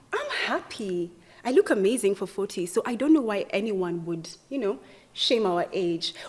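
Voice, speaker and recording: A woman speaks with lively intonation. There is noticeable background noise. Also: medium pitch for a woman, moderate pace. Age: 40s. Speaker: podcast host, reality TV personality. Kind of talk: casual chat.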